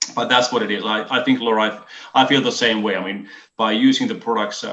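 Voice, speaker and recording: A fairly low-pitched man with a Finnish accent, fairly quick, with ordinary pitch variation. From Finland. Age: 50s. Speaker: business presenter. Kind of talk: online business presentation. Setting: video call. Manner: hesitant, many fillers.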